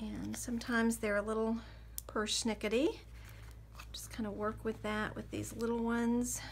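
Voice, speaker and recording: A woman speaks at a moderate pace. She leaves long, frequent pauses. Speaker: craft tutorial creator. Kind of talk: tutorial.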